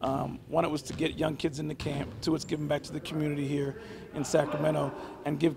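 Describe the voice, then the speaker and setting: Someone talks at a very fast pace amid noticeable background noise. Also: man. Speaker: basketball coach. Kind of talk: interview answer. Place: hall. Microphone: handheld.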